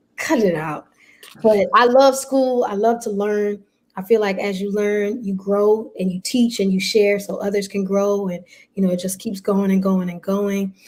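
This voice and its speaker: A woman talks in a New York accent at a medium pitch. Her pace is moderate and her intonation fairly even. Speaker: pastor. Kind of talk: casual chat.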